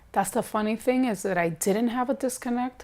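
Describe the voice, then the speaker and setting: In an American accent, a woman speaks with ordinary pitch variation. The background is silent and the recording very clean. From New York, Bronx. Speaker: documentary interviewee. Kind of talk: interview testimony.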